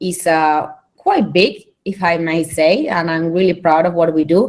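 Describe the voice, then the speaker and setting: A woman with a Spanish accent speaks at a very slow pace in a fairly low pitch. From Spain. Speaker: internet organization director. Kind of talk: conference presentation. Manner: hesitant, many fillers.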